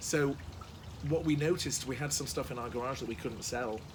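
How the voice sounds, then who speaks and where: In a room with audible echo, a man with an English accent speaks with lively intonation. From England. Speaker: entrepreneur and author. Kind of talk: interview. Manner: halting.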